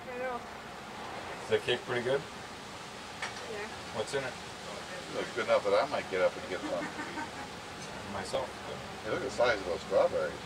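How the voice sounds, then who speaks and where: Long, frequent pauses break up a man's speech, with noticeable background noise behind him. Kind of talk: casual family banter. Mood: playful teasing. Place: garden. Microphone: old recording.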